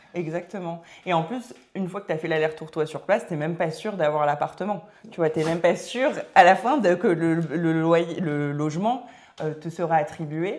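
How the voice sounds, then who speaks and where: With an ordinary speaking voice, a woman speaks at a fairly low pitch and a moderate pace, using ordinary pitch variation. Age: 30s. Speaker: entrepreneur, start-up founder. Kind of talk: casual podcast interview. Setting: podcast recording.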